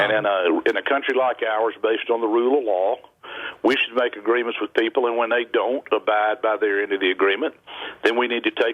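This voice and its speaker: The speaker has a Southern US accent and fairly even intonation. The pace is fairly quick. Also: man. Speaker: state governor. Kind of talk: interview answer.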